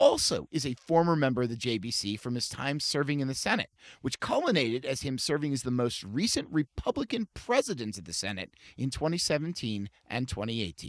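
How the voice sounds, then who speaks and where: The voice has vocal fry and moves at a fairly quick pace, recorded very cleanly with a silent background and a dry, close sound with no echo. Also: man. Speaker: podcast host, interviewer.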